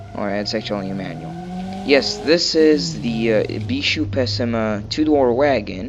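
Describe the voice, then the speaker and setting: A man's intonation rises and falls in a lively way against noticeable background noise. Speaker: gaming video creator. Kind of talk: casual gameplay commentary. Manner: hesitant, many filler words.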